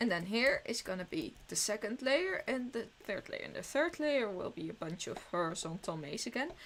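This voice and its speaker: With a Dutch accent, a woman speaks in a fairly high voice at a moderate pace. Her pitch swings very widely, and she hardly pauses. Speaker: streamer. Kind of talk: casual live-stream commentary while gaming. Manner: halting, with self-corrections.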